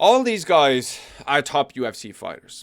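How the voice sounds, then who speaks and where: A man speaks in an animated tone with an Irish accent. The recording is very clean, with a silent background. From Ireland. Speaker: MMA commentator. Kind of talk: casual tier list commentary.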